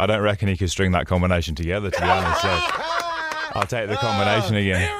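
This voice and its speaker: A man at a very fast pace with hardly any pauses, a fairly low pitch and fairly even intonation, over noticeable background noise. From Birmingham, England. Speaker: fighter, radio studio guest. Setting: radio studio. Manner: laid-back, dry humour.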